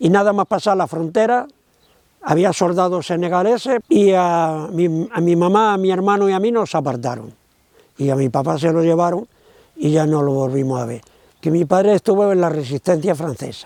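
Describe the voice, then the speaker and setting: Lively intonation marks this man's high-pitched voice at a moderate pace. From Spain, Córdoba province (Andalusia). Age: 80s+. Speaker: witness, son of a camp victim. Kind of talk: testimony. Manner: halting.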